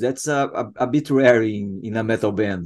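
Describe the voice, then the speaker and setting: The speaker has a Portuguese accent and talks against a quiet background. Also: man. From Brazil. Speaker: podcast host. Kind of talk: interview. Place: home room. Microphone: earbuds.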